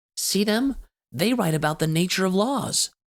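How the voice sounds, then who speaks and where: A man puts on a character voice, pitched high, with lively intonation. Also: moderate pace. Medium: read story. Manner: earnest, bookish.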